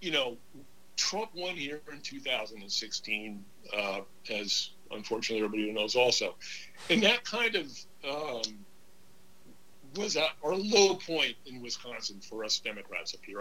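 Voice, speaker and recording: A man with an American accent speaks at a fairly high pitch and a fairly slow pace. His bright, sharp tone moves in very wide pitch swings. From New York / New Jersey area. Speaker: author and Navy veteran. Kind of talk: casual interview chat.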